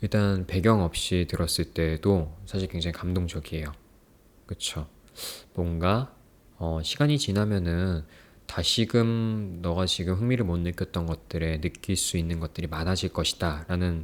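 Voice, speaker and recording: At a fairly slow pace, a man speaks in a very deep, low pitch with ordinary pitch variation, in a very clean recording with a silent background. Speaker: book reviewer and poetry reader. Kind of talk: casual talk to camera introducing a book.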